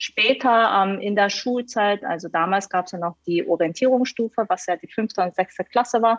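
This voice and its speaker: A woman of medium pitch talks at a moderate pace with hardly any pauses and ordinary pitch variation, in a dry, close recording with no echo. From Hannover, Germany (from South Korea at nine). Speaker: management consultant. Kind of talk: podcast interview. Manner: hesitant, many fillers.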